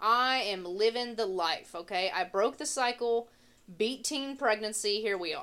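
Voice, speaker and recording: A woman with an American accent talks at a fairly slow pace. Her pitch swings very widely. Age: 20s. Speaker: podcast co-host. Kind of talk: casual chat.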